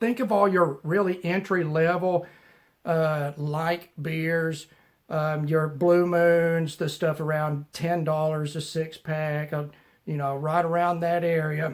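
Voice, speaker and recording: A man with a Southern US accent and fairly high pitch speaks at a very slow pace with monotone, flat intonation. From US South. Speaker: knife reviewer YouTuber. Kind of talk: casual vlog chat and beer review. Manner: casual, filler-heavy.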